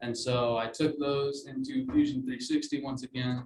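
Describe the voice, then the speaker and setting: Somewhat breathy, a man's voice carries monotone, flat intonation. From Alabama (Mobile). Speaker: design student. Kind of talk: student presentation. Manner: many fillers (uh, um).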